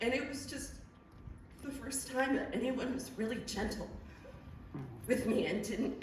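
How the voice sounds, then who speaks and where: Female speech with audible room echo and noticeable background noise. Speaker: theater volunteer and actor. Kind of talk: eulogy. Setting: theater stage with audience. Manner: loud.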